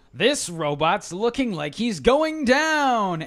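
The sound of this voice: Put on as a character voice, a man's speech comes at a high pitch and a very slow pace. Very wide pitch swings run through it.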